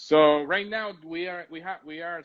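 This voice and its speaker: A man with a Spanish accent, a moderate pace and ordinary pitch variation. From Puerto Rico. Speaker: coffee shop owner. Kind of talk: casual interview chat. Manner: halting, repeats words.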